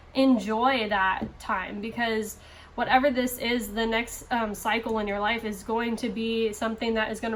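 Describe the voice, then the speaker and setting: The speaker is a woman whose voice sits at a fairly high pitch. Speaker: tarot reader. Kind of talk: tarot reading to camera.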